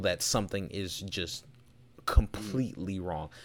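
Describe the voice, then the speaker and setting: Over a silent background in a very clean recording, a man talks at a fairly slow pace with lively intonation. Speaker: podcast host. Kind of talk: casual chat.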